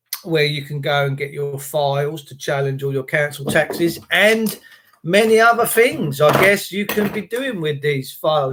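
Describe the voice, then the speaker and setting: With an English accent, a man speaks in a raised, projected voice at a fairly slow pace, his pitch swinging very widely. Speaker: livestreamer / activist. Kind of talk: live stream chat with viewers. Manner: uneven pitch, voice going up and down.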